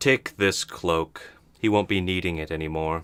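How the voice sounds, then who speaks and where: Putting on a character voice, a man booms in a resonant, very deep, low pitch with ordinary pitch variation at a moderate pace, in a dry, close sound with no echo. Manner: commanding, grand.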